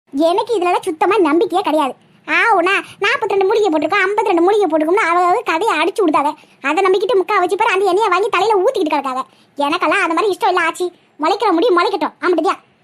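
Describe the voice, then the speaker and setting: A woman's cartoonish character voice, extremely high in pitch, with ordinary pitch variation, a fairly quick pace, and very even loudness. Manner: cheeky, confident.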